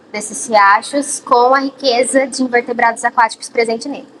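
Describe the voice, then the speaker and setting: A woman with a high voice speaks with fairly even intonation. Noticeable background noise runs behind her. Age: 20s. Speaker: biology student. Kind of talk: documentary interview.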